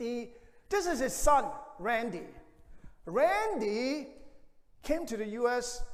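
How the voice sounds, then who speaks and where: An extremely high-pitched man speaks in a Hong Kong accent, with audible room echo. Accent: Hong Kong Cantonese-accented English. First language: Cantonese. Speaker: pastor. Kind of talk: sermon. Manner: halting.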